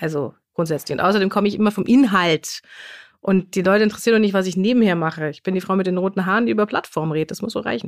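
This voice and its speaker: A woman talks at a very fast pace in a medium pitch. Her pitch variation is ordinary. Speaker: trade journalist and podcast co-host. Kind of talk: casual chat.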